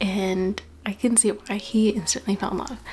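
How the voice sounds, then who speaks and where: Noticeable background noise fills the recording. A woman talks over it at a fairly high pitch. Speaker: book vlogger. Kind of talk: casual vlog chat. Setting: Airbnb room.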